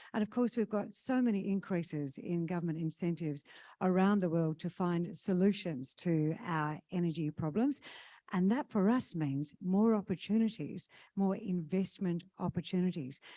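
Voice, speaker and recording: In a very clean recording with a silent background, a woman speaks at a moderate pace, her fairly low voice dark and mellow in tone, with ordinary pitch variation. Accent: Australian. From Western Australia, Kalgoorlie. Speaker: conference MC. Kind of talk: conference emcee announcements. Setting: stage with audience.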